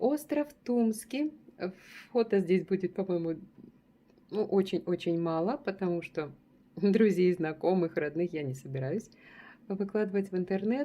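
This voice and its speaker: With a dark, mellow tone, a woman talks at a fairly slow pace, leaving long, frequent pauses. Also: medium pitch for a woman, lively intonation. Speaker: travel vlogger. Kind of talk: casual travel photo-walk narration. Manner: warm, chatty.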